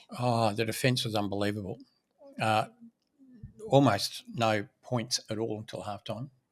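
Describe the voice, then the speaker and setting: Speaking at a moderate pace with long, frequent pauses, a man uses a medium pitch and fairly even intonation. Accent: Australian. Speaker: property developer, podcast co-host. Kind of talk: casual chat.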